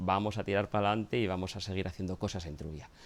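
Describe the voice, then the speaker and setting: A man with an ordinary speaking voice and a fairly low pitch talks at a fairly quick pace. The recording is very clean, with a silent background. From Asturias, Spain. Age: 40s. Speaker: local historian and documentary scriptwriter. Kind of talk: documentary interview.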